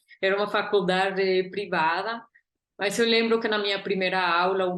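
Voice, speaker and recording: Her voice sits mid-range for a woman, and she talks at an unhurried, middling speed. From Guatemala. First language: Spanish (speaking Portuguese). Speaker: artist and curator. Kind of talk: interview.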